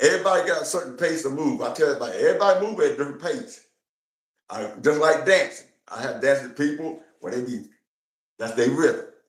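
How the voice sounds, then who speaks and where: Audible room echo follows a man who talks at a very fast pace. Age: 60s. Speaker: hula hoop enthusiast. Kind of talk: interview. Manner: casual, conversational.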